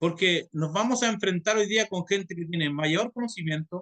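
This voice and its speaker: The speech moves at a moderate pace with ordinary pitch variation and a dry, close sound with no echo. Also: man. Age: 50s. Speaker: pastor and theology teacher. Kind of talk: lecture. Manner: halting.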